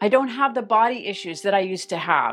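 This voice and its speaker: The pitch here varies in an ordinary way. It is an unremarkable speaking voice. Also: woman. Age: 50s. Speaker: weight loss vlogger. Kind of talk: monologue to camera.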